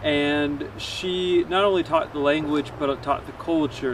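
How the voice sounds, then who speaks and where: Someone with an American accent speaks at a fairly slow pace. Noticeable background noise can be heard. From US. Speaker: cycling and paddling traveler, vlogger. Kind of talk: travel vlog to camera.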